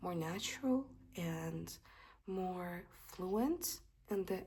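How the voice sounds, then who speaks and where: A woman speaks with a non-native accent. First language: not English. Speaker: English teacher. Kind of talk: casual tutorial. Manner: casual with hesitations.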